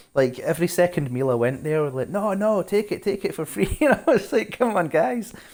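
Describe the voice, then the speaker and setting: On a very clean recording with a silent background, a man's voice moves through very wide pitch swings. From Scotland, Glasgow. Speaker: game streamer. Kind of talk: casual live-stream chat. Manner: fast.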